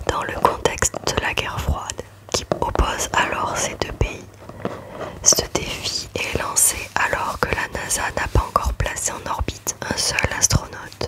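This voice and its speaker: The words are whispered at a fairly slow pace. Behind them sits noticeable background noise. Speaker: ASMR creator. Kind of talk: ASMR reading of a factual text.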